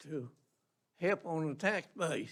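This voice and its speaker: A man's high-pitched voice in a Georgia accent, with ordinary pitch variation. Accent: Southern US, rural Georgia. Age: 80s+. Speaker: local resident speaking at public comment. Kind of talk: public comment at county meeting.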